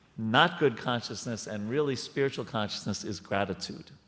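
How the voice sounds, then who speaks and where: With an American accent, a man speaks at a moderate pace, his pitch medium and its variation ordinary. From New York. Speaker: temple speaker. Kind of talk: spiritual discussion. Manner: halting.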